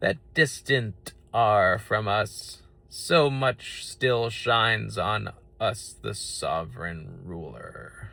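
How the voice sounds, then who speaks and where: A man uses a put-on character voice at medium pitch and a very slow pace. The recording is very clean, with a silent background. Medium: read story. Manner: stately, grave.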